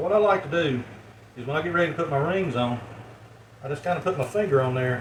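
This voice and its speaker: Mumbling at a fairly quick pace, a man with a fairly high pitch uses lively intonation amid noticeable background noise and audible room echo. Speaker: home canning video maker. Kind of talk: tutorial. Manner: casual, folksy.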